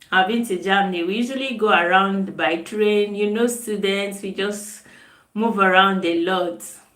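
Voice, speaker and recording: A woman with a Nigerian accent at medium pitch, ordinary pitch variation and a moderate pace, amid audible room echo. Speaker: nutritionist. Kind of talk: live stream chat. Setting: live video stream. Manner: casual, chatty.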